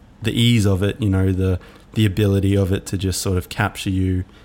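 This man talks at a moderate pace with a fairly low pitch and a monotone, flat intonation. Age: 20s. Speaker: podcast host, filmmaker. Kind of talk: solo reflective monologue.

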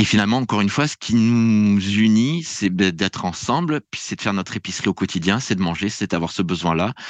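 Against a quiet background, a man with a normal speaking voice talks at a fairly low pitch. He moves at a fairly quick pace with lively intonation and hardly any pauses. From France. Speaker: public administration researcher and lecturer. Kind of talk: podcast interview.

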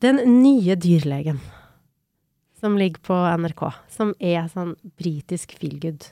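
A woman with a dark, mellow tone and fairly low pitch speaks at a very slow pace with lively intonation and long, frequent pauses, in a dry, close sound with no echo on a very clean recording with a silent background. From Norway, Trondheim (Trøndelag). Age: 40s. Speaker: podcast co-host. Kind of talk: casual chat.

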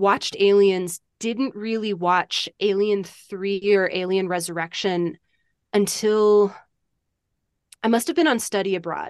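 Against a quiet background, a woman speaks in an unremarkable speaking voice at medium pitch and a moderate pace. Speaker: author. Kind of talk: interview.

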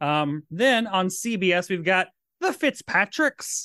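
A man with a Tennessee accent speaks in a high voice with a bright, sharp, playful tone. The sound is dry and close with no echo, against a quiet background. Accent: Southern US, Tennessee. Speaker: podcast host, drag queen. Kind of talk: casual chat. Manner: campy, playful.

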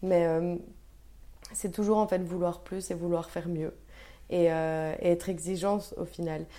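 Her tone dark and mellow, a woman speaks at a fairly low pitch in monotone, flat intonation, moving at a fairly slow pace with long, frequent pauses. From Belgium, Brussels. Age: 20s. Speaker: food entrepreneur. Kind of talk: interview.

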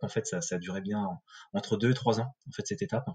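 A man's somewhat breathy voice, medium in pitch, with a dark, mellow tone. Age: 30s. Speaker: new father. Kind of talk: testimony. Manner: halting.

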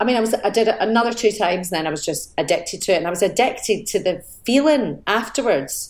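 A woman with a Glaswegian accent at a fairly quick pace. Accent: Glaswegian Scottish. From Scotland, north Glasgow. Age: 40s. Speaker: actor. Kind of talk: casual chat.

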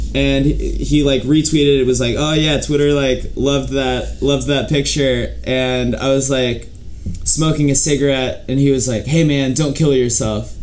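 Over noticeable background noise, a man speaks at a moderate pace with a medium pitch. His intonation is monotone and flat, and his loudness stays very even. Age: 20s. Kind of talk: casual chat.

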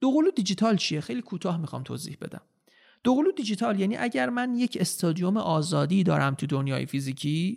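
High male voice, fairly quick, its pitch swinging very widely. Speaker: metaverse consultant and content creator. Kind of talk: interview conversation.

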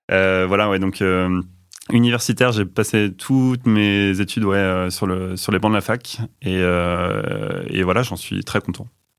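The speaker goes at a fairly slow pace on a very clean recording with a silent background. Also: man, very deep, low pitch for a man. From Normandy, France (Rouen). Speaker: internal communications manager. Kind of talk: interview. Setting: studio. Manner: halting.

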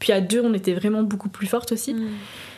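A woman's medium-pitched voice has a dark, mellow tone and fairly even intonation. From France, Nantes. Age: 20s. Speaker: entrepreneur. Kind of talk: casual chat.

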